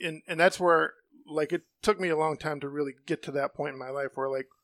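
Speaking at a very fast pace with an American accent, this voice has ordinary pitch variation and a dry, close sound with no echo on a very clean recording with a silent background. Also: man. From Ohio, US Midwest. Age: 50s. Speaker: friend of host. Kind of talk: casual chat.

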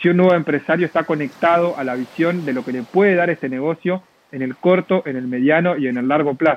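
A man in an ordinary speaking voice, fairly high pitch, ordinary pitch variation, fairly quick pace, dry, close sound with no echo. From Argentina, La Plata. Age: 20s. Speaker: network marketing entrepreneur. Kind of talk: interview.

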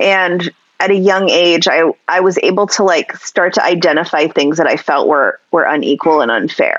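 With an unremarkable speaking voice, a woman talks at a fairly low pitch and moderate pace, with ordinary pitch variation and very even loudness. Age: 40s. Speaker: sex educator. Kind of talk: interview conversation.

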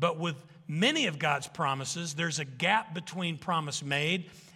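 With a Southern US accent, a man talks at a fairly slow pace in a fairly high voice, with ordinary pitch variation and a bright, sharp tone. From Arkansas. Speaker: pastor. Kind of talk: sermon.

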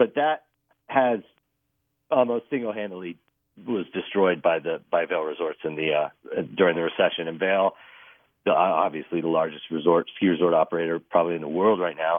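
A man with an American accent and a very deep, low pitch speaks at a fairly quick pace with ordinary pitch variation. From Texas. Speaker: newspaper reporter. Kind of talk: interview. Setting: phone call.

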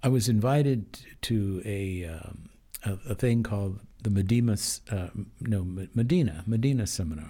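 A man's fairly low, somewhat breathy voice with a dark, mellow tone, in an American accent. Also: ordinary pitch variation, moderate pace. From Denver, Colorado. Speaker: judge. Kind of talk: interview. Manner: halting, with fillers.

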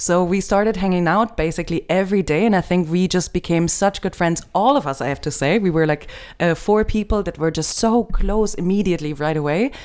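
Speaking with a German accent, a woman talks at a fairly quick pace in a medium pitch, with ordinary pitch variation and hardly any pauses. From Germany.

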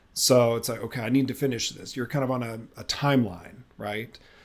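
A man with an ordinary speaking voice, medium in pitch and fairly even in intonation, on a very clean recording with a silent background. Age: 40s. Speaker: architect and adoptive father. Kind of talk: interview.

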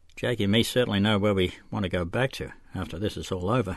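Reading in an unforced voice

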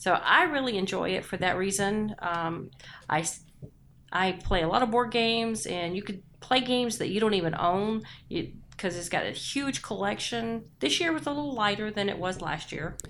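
This is a plain, everyday voice at a moderate pace. Its intonation is lively. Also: woman, medium pitch for a woman. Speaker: podcast co-host. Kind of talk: casual chat.

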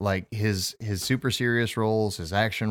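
On a very clean recording with a silent background, a man speaks in a plain, everyday voice at a fairly low pitch and moderate pace, with fairly even intonation. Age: 30s. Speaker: podcast host. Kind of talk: casual chat.

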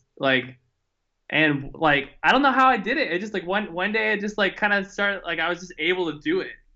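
A man with an American accent has an ordinary speaking voice. He talks at a moderate pace with ordinary pitch variation. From Houston, Texas. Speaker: rock band vocalist. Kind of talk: casual chat.

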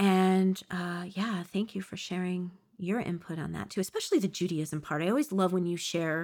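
On a very clean recording with a silent background, a woman talks in an unremarkable speaking voice, fairly low in pitch, with fairly even intonation. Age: 40s. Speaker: spiritual podcast host. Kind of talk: casual chat.

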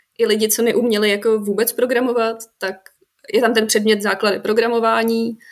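A woman's voice with monotone, flat intonation at a fairly quick pace. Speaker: game design graduate. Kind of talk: casual chat.

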